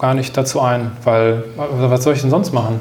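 Through noticeable background noise and audible room echo, a man speaks at a medium pitch. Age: 30s. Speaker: new work consultant, podcaster and author. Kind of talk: casual interview conversation.

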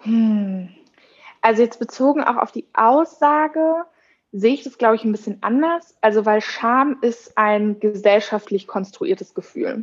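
This woman has an ordinary speaking voice, fairly high in pitch. She talks at a fairly slow pace with lively intonation. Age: 20s. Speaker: social media and events staff at a company. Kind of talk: interview.

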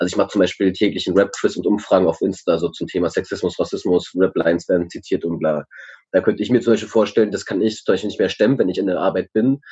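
The background is quiet. A man speaks at a very fast pace. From Berlin. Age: 20s. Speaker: youth worker. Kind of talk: casual chat. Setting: video call.

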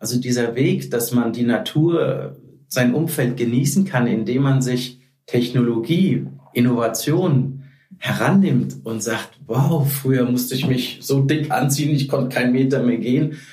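Over noticeable background noise and audible room echo, a man with a medium pitch and ordinary pitch variation talks at a fairly slow pace. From Hesse, Germany (Frankfurt). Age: 40s. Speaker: sales manager in fashion. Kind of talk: casual interview.

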